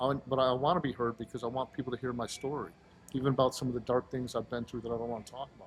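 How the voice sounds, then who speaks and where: Somewhat breathy and monotone, a man with a medium-pitched voice talks at a very fast pace with flat intonation. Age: 50s. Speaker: powerlifter and aspiring bodybuilder. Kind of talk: casual interview chat.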